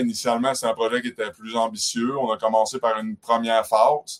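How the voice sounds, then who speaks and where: A man speaks at medium pitch. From Quebec, Côte-Nord (Havre-Saint-Pierre). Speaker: tourism business owner. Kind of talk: interview.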